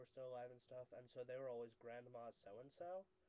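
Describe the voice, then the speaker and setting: Talking at a fairly quick pace, a man with a northeastern Pennsylvania accent has a dark, mellow tone, medium pitch and fairly even intonation. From northeastern Pennsylvania, USA. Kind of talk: casual talk to camera. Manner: hesitant, rambling.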